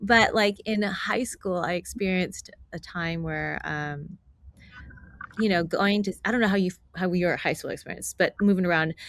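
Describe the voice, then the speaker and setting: With an American accent and a plain, everyday voice, a woman of medium pitch speaks at a moderate pace with fairly even intonation. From United States, military family (El Paso, Germany, Atlanta). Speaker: voice actor. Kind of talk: interview answer. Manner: casual, conversational.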